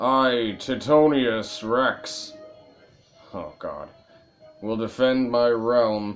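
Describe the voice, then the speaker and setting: A man uses a put-on character voice, rumbling at a medium pitch. He speaks at a very slow pace over faint music in the background. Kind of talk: grandiose.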